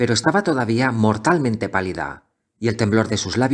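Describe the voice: Someone reads aloud plainly. The background is quiet.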